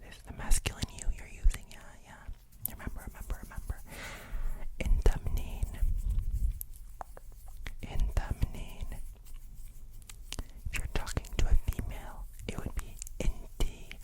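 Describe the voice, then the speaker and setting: Someone whispers in a calm tone with long, frequent pauses over noticeable background noise. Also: man. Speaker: language teacher. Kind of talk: ASMR language lesson. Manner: whispered, calm.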